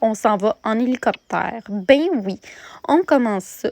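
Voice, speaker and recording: A woman with a Quebec accent talks fairly slowly at a fairly high pitch with ordinary pitch variation, the sound dry and close with no echo in a very clean recording with a silent background. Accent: Québécois French. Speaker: vlogger. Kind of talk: vlog narration. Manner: hesitant with fillers.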